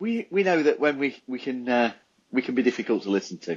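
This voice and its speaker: A man speaks at a moderate pace with a Nottinghamshire accent. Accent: Nottinghamshire twang. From Nottinghamshire, English Midlands. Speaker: podcast co-host. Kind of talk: casual chat.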